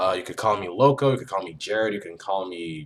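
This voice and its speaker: A moderately paced man's voice, fairly low in pitch, with ordinary pitch variation. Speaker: content creator. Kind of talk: casual vlog monologue. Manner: halting, many fillers.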